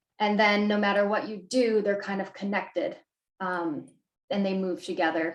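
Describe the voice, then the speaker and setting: There is audible room echo as a woman speaks at a moderate pace with a medium pitch and fairly even intonation. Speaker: graphic designer and workshop presenter; presenter. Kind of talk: tutorial. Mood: friendly, relaxed.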